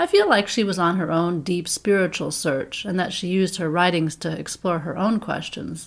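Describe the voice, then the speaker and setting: A woman speaks at a moderate pace in a plain, everyday voice, fairly low in pitch. The recording is very clean with a silent background. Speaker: podcast host reading poetry. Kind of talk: poem performed, reading verse aloud. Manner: calm, soothing, lyrical cadence.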